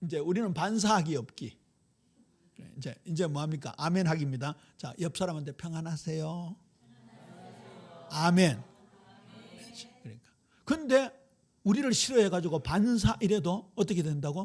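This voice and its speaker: A man speaks at a moderate pace in a high pitch, with lively intonation, big swings in loudness, and long, frequent pauses. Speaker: pastor. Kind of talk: sermon. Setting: church. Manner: animated.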